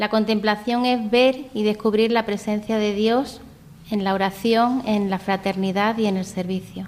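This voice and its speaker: A woman's fairly high-pitched, monotone, flat voice at a fairly slow pace. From Andalusia, Spain (Vélez-Málaga). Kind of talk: interview testimony.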